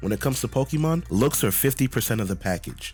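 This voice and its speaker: A man speaks with music playing in the background. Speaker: gaming YouTuber. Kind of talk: scripted opinion rant to camera.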